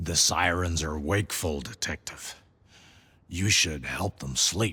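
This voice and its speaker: Putting on a character voice, a man speaks in a raspy, very deep, low register with a calm tone. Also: fairly slow pace. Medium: video game. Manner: calm, cryptic.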